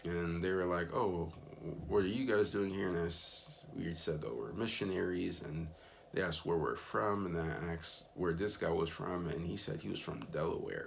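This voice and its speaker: Audible room echo around a man's very deep, low voice with an American accent, at a moderate pace. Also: ordinary pitch variation. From Miami, Florida, US. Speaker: missionary vlogger. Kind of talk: casual vlog recap. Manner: casual with frequent fillers.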